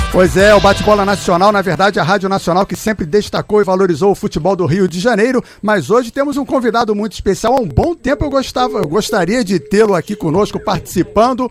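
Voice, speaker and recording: A man with a high pitch speaks very fast, with hardly any pauses. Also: ordinary pitch variation. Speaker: radio sports show host. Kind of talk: live radio interview questions.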